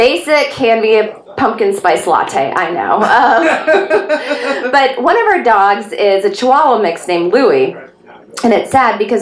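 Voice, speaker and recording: Speaking in a Texan accent with lively intonation, a woman keeps a moderate pace amid audible room echo and noticeable background noise. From Texas, Dallas. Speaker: stand-up comedian. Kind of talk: stand-up. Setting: stage with audience.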